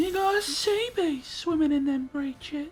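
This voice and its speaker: In a put-on character voice, the speaker uses a high pitch at a moderate pace. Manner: impression.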